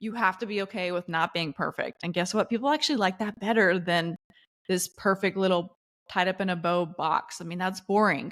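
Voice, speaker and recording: A woman speaks in an animated tone in a very clean recording with a silent background. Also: medium pitch for a woman, ordinary pitch variation, fairly quick pace. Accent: slight Southern US. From US South, Charlotte, North Carolina. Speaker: LinkedIn coach and entrepreneur. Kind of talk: podcast interview.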